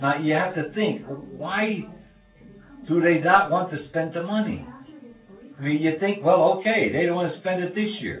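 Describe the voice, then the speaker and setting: A man with an American accent and a high pitch speaks at a moderate pace with ordinary pitch variation. Noticeable background noise and audible room echo fill the recording. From Bethlehem, Pennsylvania, US. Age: 70s. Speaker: retired steel mill rigger. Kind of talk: interview. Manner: halting.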